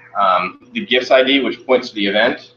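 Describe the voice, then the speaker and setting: A man speaks at medium pitch over noticeable background noise. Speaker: college instructor. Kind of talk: lecture. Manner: fast.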